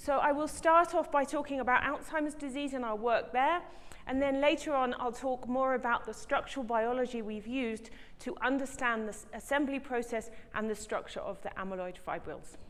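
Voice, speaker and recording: Speaking with a southern English accent, a woman with a high voice goes at a fairly quick pace with ordinary pitch variation and audible room echo. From England, Brighton. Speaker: professor, scientist. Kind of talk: lecture. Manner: fast.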